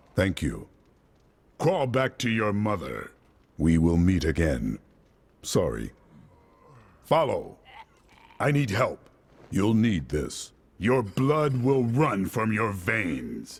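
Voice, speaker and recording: Putting on a character voice, a man speaks at a fairly low pitch and a very slow pace with long, frequent pauses. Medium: video game. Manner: terse, grim.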